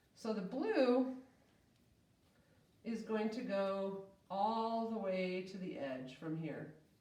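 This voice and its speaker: A woman's voice carries audible room echo. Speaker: art teacher. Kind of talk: tutorial. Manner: casual, friendly.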